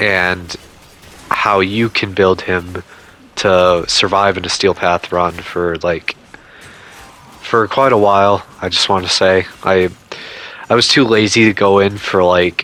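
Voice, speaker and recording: A man's very deep, low voice at a very slow pace, with long, frequent pauses and noticeable background noise. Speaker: gaming YouTuber. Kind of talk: casual video commentary. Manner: stuttering; hesitant, filler-heavy.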